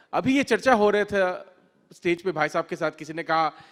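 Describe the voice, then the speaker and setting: The man speaks with a Bengali accent. His intonation is lively. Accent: non-native Hindi, Bengali-accented. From Bengal, India. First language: Bengali (speaking Hindi). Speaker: author. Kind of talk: literature festival talk. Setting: stage with audience. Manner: halting, with fillers.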